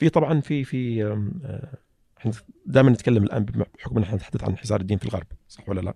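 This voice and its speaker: A man talks at a very fast pace with long, frequent pauses, his fairly low voice dark and mellow with vocal fry and lively intonation. The sound is dry and close, with no echo. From Saudi Arabia, Eastern Province (Saihat, Qatif). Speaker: petroleum engineer and writer. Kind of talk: casual interview conversation. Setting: studio.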